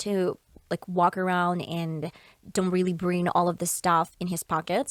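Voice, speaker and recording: A woman with a Russian accent and a fairly low pitch speaks at a moderate pace, the sound dry and close with no echo. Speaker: podcaster. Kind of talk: casual chat. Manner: halting.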